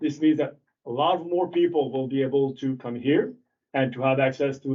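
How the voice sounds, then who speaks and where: A man's medium-pitched voice with ordinary pitch variation and a French accent. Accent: French accent, noticeable. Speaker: ATV club representative. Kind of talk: presentation to town council. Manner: halting.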